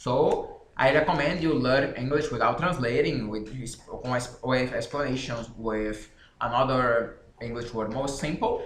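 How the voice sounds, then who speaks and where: A man at medium pitch and moderate pace, with ordinary pitch variation, audible room echo and noticeable background noise. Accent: Brazilian Portuguese. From Brazil. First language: Portuguese. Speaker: author and language learning channel host. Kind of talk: casual explanation to camera. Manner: halting.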